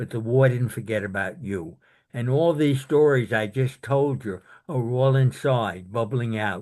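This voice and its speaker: With a New York accent, a man speaks at a fairly slow pace and a medium pitch. The background is quiet. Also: ordinary pitch variation. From Brooklyn, New York. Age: 80s+. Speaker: war veteran. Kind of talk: interview. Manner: halting.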